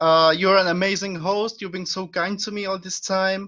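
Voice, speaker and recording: Against a quiet background, a man with a Czech accent projects a raised voice at a moderate pace, high in pitch and with a bright, sharp tone. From Czech Republic. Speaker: pro wrestling trainee. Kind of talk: casual interview.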